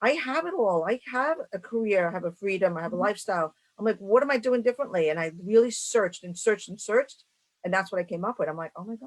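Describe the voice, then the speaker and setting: A woman's medium-pitched voice at a very fast pace, with lively intonation and big swings in loudness. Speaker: entrepreneur and women's mentor. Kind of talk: interview answer.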